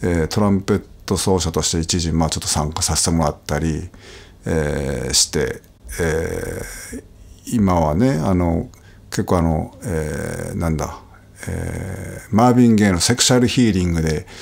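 This man's voice is very deep and low in pitch. He talks at a moderate pace with ordinary pitch variation. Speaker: trumpet player. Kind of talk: casual chat. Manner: hesitant, many fillers.

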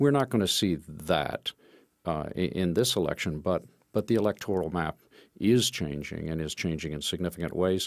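In a very clean recording with a silent background, a man with an American accent and a very deep, low pitch speaks at a moderate pace with lively intonation. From Texas, Austin. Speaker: playwright and screenwriter. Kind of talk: interview.

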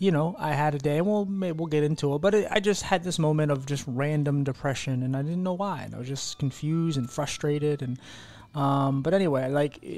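With ordinary pitch variation, a man delivers his words at a fairly quick pace. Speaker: podcast host. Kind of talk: podcast intro chat.

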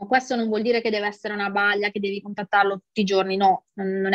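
A woman talks in a flat monotone, her dry voice free of echo against a quiet background. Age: 40s. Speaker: dieting client sharing weight loss results. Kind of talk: interview testimony. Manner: casual, with many fillers. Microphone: earbuds.

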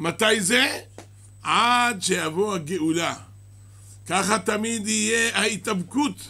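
A man talks at a very slow pace in a raised, projected voice. His tone is bright and sharp, and his pitch varies in an ordinary way. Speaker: rabbi teaching a class. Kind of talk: sermon. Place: church. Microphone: podium.

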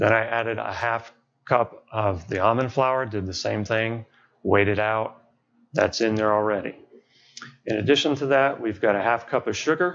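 Over light background noise, a man talks at a moderate pace with ordinary pitch variation and long, frequent pauses. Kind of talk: tutorial. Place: kitchen. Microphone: lapel.

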